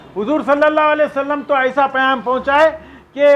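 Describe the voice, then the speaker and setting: Raised and projected, a man's voice sits at an extremely high pitch with monotone, flat intonation. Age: 60s. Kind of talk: public statement. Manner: impassioned.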